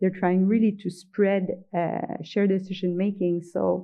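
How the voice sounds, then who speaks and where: A woman speaks in a Quebec accent. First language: French. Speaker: professor. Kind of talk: conference lecture. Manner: slow; halting.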